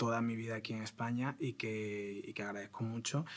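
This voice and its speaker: The voice keeps a moderate pace and fairly even intonation on a very clean recording with a silent background. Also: man. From Spain (raised in Madrid from age 7, born in Ecuador). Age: 20s. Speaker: theatre director and actor. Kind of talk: interview conversation. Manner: hesitant, with filler words and repetitions.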